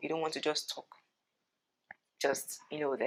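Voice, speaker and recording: This woman has a very deep, low voice. Its pitch varies in an ordinary way. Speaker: beauty and lifestyle vlogger. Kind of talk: casual advice vlog. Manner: fast.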